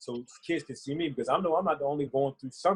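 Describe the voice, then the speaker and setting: In a dry, close sound with no echo, a man talks at a very fast pace with a fairly high pitch and a somewhat breathy voice. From North Carolina, born in Philadelphia. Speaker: basketball player. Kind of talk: interview.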